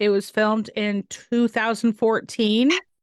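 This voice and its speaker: In a dry, close sound with no echo, a woman with a fairly high pitch and an animated tone talks at a fairly slow pace. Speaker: podcast host. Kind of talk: casual chat. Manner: loud.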